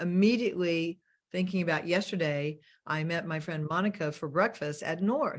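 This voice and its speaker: A woman with an American accent speaks at a moderate pace in an unremarkable speaking voice, with a fairly low pitch and ordinary pitch variation. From US South. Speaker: money mentor and show host. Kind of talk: casual chat. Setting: video call.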